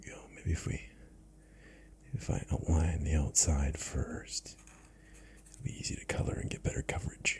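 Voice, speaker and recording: A man's relaxed whispering with big swings in loudness, long and frequent pauses, and noticeable background noise. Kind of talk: ASMR soft spoken narration while coloring. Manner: soft-spoken, slow, relaxed.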